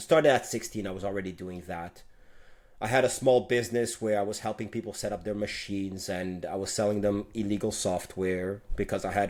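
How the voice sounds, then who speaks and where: On a very clean recording with a silent background, a man with a Quebec accent talks in a fairly low pitch. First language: French. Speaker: tech executive. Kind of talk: interview.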